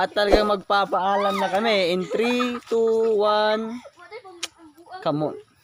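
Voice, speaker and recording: A man's high-pitched, very slow speech with fairly even intonation over noticeable background noise. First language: Cebuano (Bisaya) (speaking Tagalog). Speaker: vlogger. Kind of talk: casual vlog narration. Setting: outdoors, walking through sugarcane field. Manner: halting, occasional stammering; laughs often.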